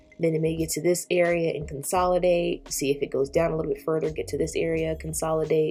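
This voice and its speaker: A woman talking at a very fast pace through noticeable background noise. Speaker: forex trading youtuber. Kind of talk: tutorial. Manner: casual, filler-heavy.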